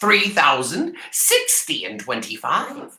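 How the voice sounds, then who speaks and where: This is a put-on character voice. The pace is fairly slow. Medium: read story. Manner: cold, dismissive.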